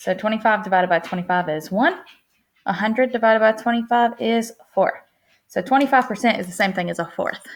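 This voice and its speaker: A woman speaks in a fairly high voice at a fairly quick pace with ordinary pitch variation. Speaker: teacher. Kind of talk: tutorial. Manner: fast.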